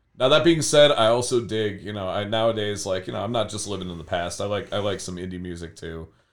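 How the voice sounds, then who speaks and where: Speech in an American accent races at a very fast pace with hardly any pauses, ordinary pitch variation and big swings in loudness. The recording is very clean, with a silent background. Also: man, fairly low pitch for a man. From US Midwest, Cleveland west side (Berea). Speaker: high school art teacher. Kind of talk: casual interview.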